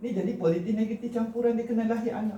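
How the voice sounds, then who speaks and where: Loud and dark, mellow in tone, a man talks at a fairly quick pace with audible room echo. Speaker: cultural commentator, vlogger. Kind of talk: monologue to camera on Malay language and heritage. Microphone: no microphone, camera only, short distance.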